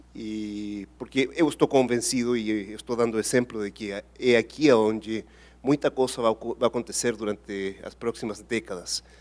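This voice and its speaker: Recorded very cleanly against a silent background, with a dry, close sound and no echo, a man speaks at medium pitch and a moderate pace, his loudness swinging widely while his intonation stays fairly even. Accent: Spanish. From Chile, Patagonia farm. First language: Spanish (speaking Portuguese). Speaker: engineer and innovation executive. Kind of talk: panel interview. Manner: halting.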